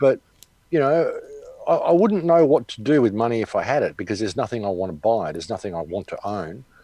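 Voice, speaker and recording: With an Australian accent and a dark, mellow tone, a man talks at a very fast pace, his pitch swinging very widely. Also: medium pitch for a man. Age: 60s. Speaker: activist commentator. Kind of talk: interview. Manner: casual.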